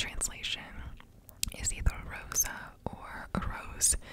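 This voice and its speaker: A soft-spoken voice whispers. Noticeable background noise sits behind it. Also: woman. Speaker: ASMR creator. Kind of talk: soft-spoken ASMR chat. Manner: soft close-mic ASMR whisper. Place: home room. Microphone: studio mic.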